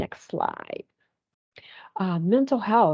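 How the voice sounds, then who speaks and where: A woman's lively intonation, dry and close with no echo, against a quiet background. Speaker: family service advocate. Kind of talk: presentation. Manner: hesitant, many fillers.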